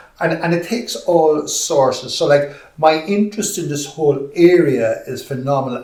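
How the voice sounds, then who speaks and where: With an Irish accent, a man speaks with lively intonation over noticeable background noise and audible room echo. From Ireland. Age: 60s. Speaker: podcast host and explorer. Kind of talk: podcast interview.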